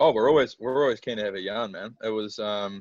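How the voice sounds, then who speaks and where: Against a quiet background, a man with a New Zealand accent talks very fast, the sound dry and close with no echo. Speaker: band member. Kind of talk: casual chat.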